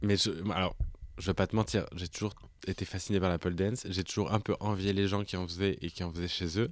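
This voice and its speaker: A man's very deep, low voice, fairly quick, with fairly even intonation. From France, Auvergne. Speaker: podcast co-host, drag performer. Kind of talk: casual chat.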